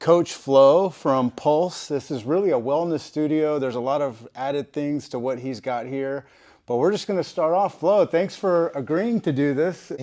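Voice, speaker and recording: Someone with an American accent speaks at a moderate pace with hardly any pauses and ordinary pitch variation. The tone is dark and mellow, and the background is quiet. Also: man, fairly high pitch for a man. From Texas. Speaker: podcast host. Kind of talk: casual interview.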